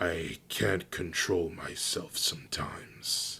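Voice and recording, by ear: Putting on a character voice, a man speaks slowly in a low voice with vocal fry, a bright, sharp tone and ordinary pitch variation.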